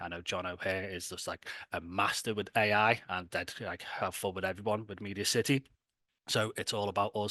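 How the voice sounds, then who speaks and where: With a Liverpool accent, a man talks in a fairly low pitch and a bright, sharp tone, the sound dry and close with no echo against a quiet background. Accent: Scouse. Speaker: tech company founder presenting a hackathon. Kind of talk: online presentation. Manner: casual, filler-heavy.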